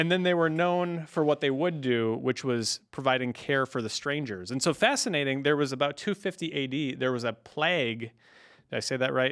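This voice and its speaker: A man with a Wisconsin accent, fairly high in pitch, at a moderate pace. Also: ordinary pitch variation. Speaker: podcast co-host. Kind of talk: casual podcast chat.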